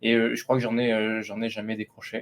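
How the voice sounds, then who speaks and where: A man at a very fast pace. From France, Lot (southwest). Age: 30s. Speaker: AI company founder. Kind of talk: interview. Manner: hesitant, many fillers.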